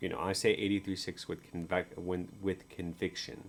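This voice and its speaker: A quiet man's voice, very deep and low. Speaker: crypto market analyst. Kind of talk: chart analysis video. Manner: quiet, low-voiced; halting, many fillers.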